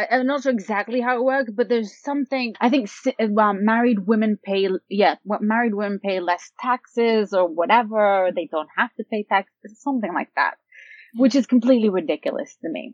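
In a plain, everyday voice, a woman speaks at a fairly quick pace. Her pitch is fairly high, with ordinary variation. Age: 30s. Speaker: blogger on single life. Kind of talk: interview.

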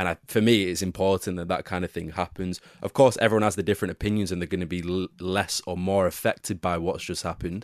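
Very fast and with hardly any pauses, a speaker with an English accent talks in a monotone, flat intonation, the sound dry and close with no echo over a quiet background. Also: man, very deep, low pitch for a man. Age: 20s. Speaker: football pundit. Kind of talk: casual chat.

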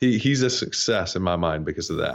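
A man with an American accent speaks at a moderate pace in a normal speaking voice, fairly low in pitch with ordinary pitch variation. The background is quiet. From US South (North Georgia). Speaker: SEO agency CEO. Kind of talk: interview.

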